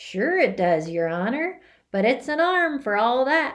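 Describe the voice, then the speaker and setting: Someone does a put-on character voice at a moderate pace with very wide pitch swings in a very clean recording with a silent background. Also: woman, high pitch for a woman. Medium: read story. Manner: deferential, folksy.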